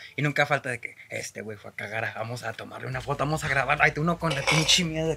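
The speaker has a Mexican accent. Talking at a very fast pace, there are hardly any pauses. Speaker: podcast co-host. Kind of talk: casual chat over beers.

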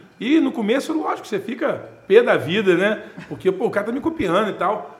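A man talks at a moderate pace. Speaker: real estate businessman and speaker. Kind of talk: casual interview chat.

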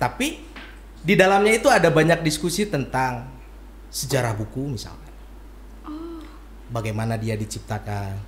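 A man speaks at a moderate pace with long, frequent pauses. His loudness swings a lot. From Bandung, West Java, Indonesia. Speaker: author and bookseller. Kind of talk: casual interview. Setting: in person.

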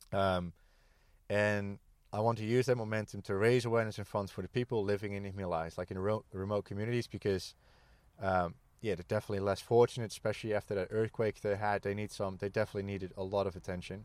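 A man with a Dutch accent rattles along at a very fast pace in a fairly low, monotone, flat voice, recorded very cleanly against a silent background. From Netherlands. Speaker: ex-military charity walker. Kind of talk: casual interview chat. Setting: outdoors at a campsite. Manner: halting, many fillers and repeats.

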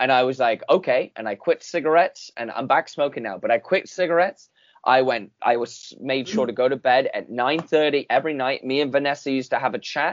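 This man has an unremarkable speaking voice at medium pitch, with ordinary pitch variation. He moves at a fairly quick pace with hardly any pauses. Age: 20s. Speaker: podcast host. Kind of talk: casual interview chat.

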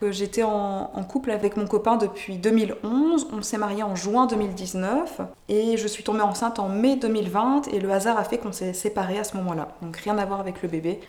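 A woman talks at a moderate pace with a medium pitch and ordinary pitch variation. She barely pauses, and there is noticeable background noise. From France. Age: 20s. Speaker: mother sharing birth story. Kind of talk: testimony. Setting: in person. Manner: hesitant, many fillers.

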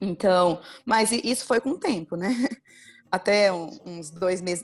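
At a fairly slow pace, a woman talks in a normal speaking voice with lively intonation and medium pitch, on a very clean recording with a silent background. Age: 20s. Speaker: pastor and teacher. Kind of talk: casual chat.

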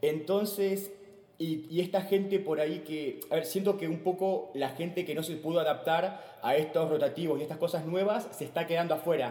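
A man with a Rioplatense accent speaks at a moderate pace with ordinary pitch variation. Noticeable background noise is present. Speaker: stand-up comedian. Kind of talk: casual chat.

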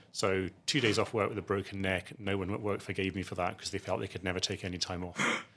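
A man with a Scottish accent and a very deep, low pitch, talking at a very fast pace with hardly any pauses and fairly even intonation. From Scotland, outside Edinburgh. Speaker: asset management chief executive. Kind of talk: interview.

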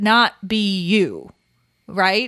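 A woman with an American accent, dry and close with no echo, on a very clean recording against a silent background. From California. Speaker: podcast co-host. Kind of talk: casual chat.

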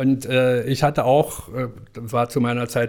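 The speaker is a man. His pitch is medium. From East Germany. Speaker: fashion retail professional. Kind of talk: interview. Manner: halting.

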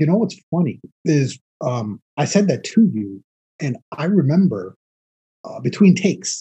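The speaker has a New York accent, a dark, mellow tone and vocal fry. Delivery is fairly slow, with very wide pitch swings and long, frequent pauses. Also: man, fairly high pitch for a man. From New York City, the Bronx. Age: 40s. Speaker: actor. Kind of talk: casual chat.

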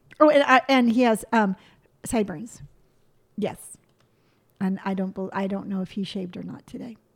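A somewhat breathy woman at a medium pitch, with ordinary pitch variation, a moderate pace and long, frequent pauses. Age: 50s. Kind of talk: casual chat.

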